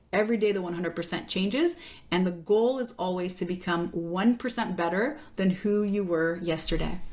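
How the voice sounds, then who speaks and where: Over noticeable background noise, a woman talks at a fairly quick pace. Her pitch is medium, with ordinary variation. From Quebec, Canada. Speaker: fitness coach. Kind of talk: podcast interview.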